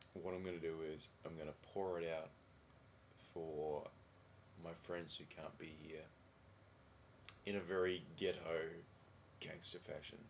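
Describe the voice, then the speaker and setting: Quiet and flat in a monotone, the speech moves at a fairly slow pace with long, frequent pauses, in an Australian accent. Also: man, very deep, low pitch for a man. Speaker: vlogger. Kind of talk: casual video diary. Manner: halting.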